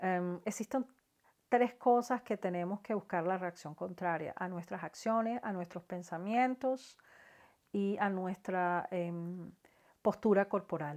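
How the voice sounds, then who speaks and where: The recording is very clean, with a silent background. A woman with a medium pitch talks very slowly, her pitch varying in an ordinary way. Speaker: psychology educator. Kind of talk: educational talk to camera. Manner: hesitant, stammers at times.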